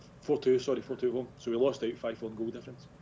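This man has a medium pitch and a dark, mellow tone, speaking with a Scottish accent. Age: 40s. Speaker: football club director. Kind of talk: casual interview.

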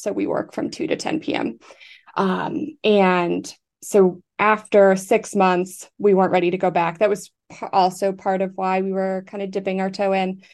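A woman speaks with a General American accent in a normal speaking voice. Her pace is moderate and the background is quiet. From US, Colorado. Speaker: expat, remote worker. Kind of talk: interview.

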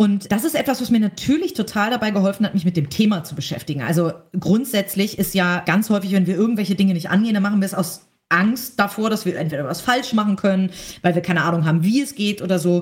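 At a very fast pace, a somewhat breathy woman talks at a medium pitch with ordinary pitch variation. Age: 30s. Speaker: entrepreneur and magazine publisher. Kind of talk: interview.

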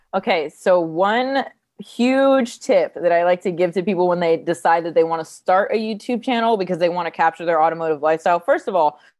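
In a fairly quick delivery with lively intonation, this is an ordinary speaking voice with an American accent. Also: woman. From New Jersey, US. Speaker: stunt driver and content creator. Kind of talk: casual interview.

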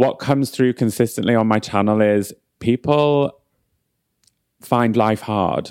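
A man's medium-pitched voice with a northern English accent, fairly even intonation, very even loudness and a fairly slow pace with long, frequent pauses, on a very clean recording with a silent background. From northern England. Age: 30s. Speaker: beauty brand founder. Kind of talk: casual chat.

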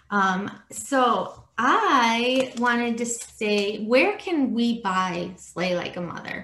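Against noticeable background noise, a woman with a fairly high pitch talks at a very slow pace with lively intonation and hardly any pauses. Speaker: podcast host. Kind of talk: interview conversation. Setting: video call.

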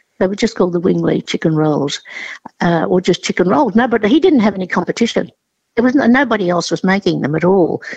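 With an Australian accent, a woman talks very fast with lively intonation, in a dry, close recording with no echo. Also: medium pitch for a woman. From southern China, raised in Australia. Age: 80s+. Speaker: chef and cooking teacher. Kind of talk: interview. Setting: phone call.

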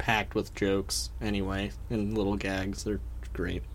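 Using a playful tone, a man speaks at a moderate pace with vocal fry and very wide pitch swings. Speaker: podcast co-host. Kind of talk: casual chat, podcast recap. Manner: playful, joking.

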